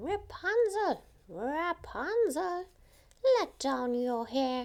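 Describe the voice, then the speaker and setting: A woman's put-on character voice, extremely high in pitch, with very wide pitch swings and a very slow pace. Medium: read story. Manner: stern, commanding.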